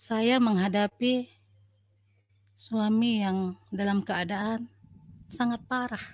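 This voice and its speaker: A woman with a Sumatran accent speaks very slowly, with long, frequent pauses. Her somewhat breathy voice sits fairly high in pitch, and her intonation stays fairly even. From North Sumatra, Asahan. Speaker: nurse. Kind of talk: testimony.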